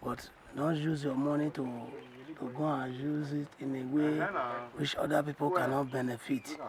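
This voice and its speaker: With noticeable background noise around him, a man talks at a fairly high pitch. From Nigeria, Edo State. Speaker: community elder. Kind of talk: advice to viewers.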